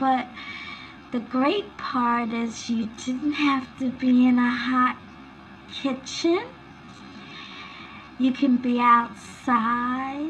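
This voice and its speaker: A soft-spoken, high-pitched woman at a very slow pace, her intonation fairly even, with music in the background. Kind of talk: ASMR recipe roleplay. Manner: soft-spoken, relaxing.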